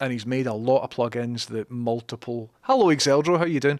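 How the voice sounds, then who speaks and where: This voice comes with a Scottish accent, in a dry, close sound with no echo, on a very clean recording with a silent background. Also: man. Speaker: livestreamer and programmer. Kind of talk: casual livestream chat. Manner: casual, chatty with fillers.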